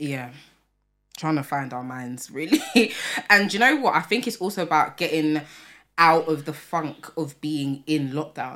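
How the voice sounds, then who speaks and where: With a London accent, a woman with a very deep, low pitch and a bright, sharp tone speaks at a fairly slow pace with lively intonation. She leaves long, frequent pauses, and the recording is very clean with a silent background. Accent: London multicultural English. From England, Tottenham, North London. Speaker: podcast co-host. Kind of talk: casual chat.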